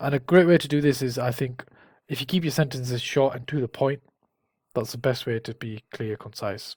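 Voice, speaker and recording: Recorded very cleanly against a silent background with a dry, close sound with no echo, a man of medium pitch speaks at a fairly quick pace with ordinary pitch variation and a somewhat breathy voice. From northern England. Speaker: careers advice YouTuber. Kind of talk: tutorial. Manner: casual, with fillers and restarts.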